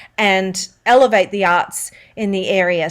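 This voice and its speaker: Speaking at a fairly slow pace, a woman with an Australian accent uses a medium pitch and ordinary pitch variation. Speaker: voice-over artist and singer. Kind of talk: interview answer.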